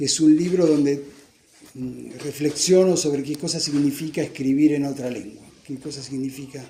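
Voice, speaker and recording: This man's dark, mellow, somewhat breathy voice sits fairly high in pitch, with fairly even intonation, big swings in loudness and a moderate pace. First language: Italian (speaking Spanish). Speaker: author presenting his book. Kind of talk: book presentation talk. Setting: bookstore event with audience. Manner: halting, repeats words.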